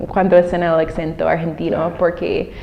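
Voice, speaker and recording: A woman at a moderate pace with noticeable background noise. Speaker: former Peace Corps volunteer and teacher. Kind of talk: interview. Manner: halting, with many fillers.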